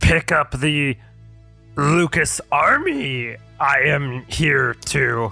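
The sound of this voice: Faint music plays in the background of a raspy, put-on character voice. It sits at a low-to-middle pitch and moves at a very slow pace.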